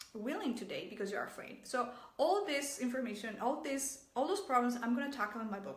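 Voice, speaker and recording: A woman's high-pitched voice in a Mexican accent, fairly quick and lively in intonation, with noticeable background noise and audible room echo. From Mexico. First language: Spanish. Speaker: relationship coach. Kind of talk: vlog advice talk. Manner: halting.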